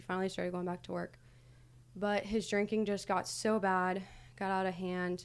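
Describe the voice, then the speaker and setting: With an American accent, a woman speaks in a normal speaking voice at medium pitch and a moderate pace. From US Midwest, Ohio / New York. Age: 20s. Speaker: podcast producer, friend of hosts. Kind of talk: personal interview, casual.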